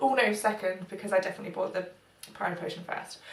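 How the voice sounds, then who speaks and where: A woman with a British accent, some room echo, and noticeable background noise. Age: 20s. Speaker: beauty vlogger. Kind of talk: casual vlog monologue. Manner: quiet.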